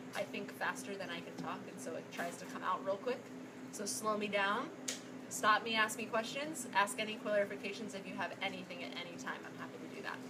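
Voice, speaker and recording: Recorded with noticeable background noise and audible room echo, a woman speaks fairly quickly with big swings in loudness. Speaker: psychologist and nutrition workshop presenter. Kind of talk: workshop presentation to live audience. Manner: fast.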